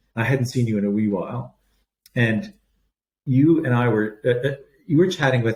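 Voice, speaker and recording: A man speaks at a moderate pace with a Canadian accent. His medium-pitched voice is somewhat breathy, with ordinary pitch variation. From Canada. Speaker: palliative care doctor. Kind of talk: podcast interview.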